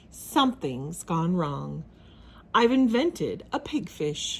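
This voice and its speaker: A female-sounding voice puts on a character voice. Its pitch sits in the middle range. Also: fairly slow pace. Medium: read story. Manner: anxious, excitable.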